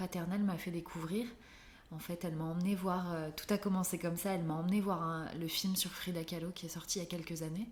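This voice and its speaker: A woman speaks at a fairly quick pace. Her fairly low voice stays monotone and flat. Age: 20s. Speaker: illustrator and art therapist. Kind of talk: interview.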